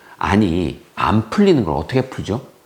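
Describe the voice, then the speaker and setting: His pitch takes very wide swings. The man's voice also carries vocal fry. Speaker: math teacher. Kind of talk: opinion monologue to parents and students. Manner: impassioned, fervent; gets loud when passionate.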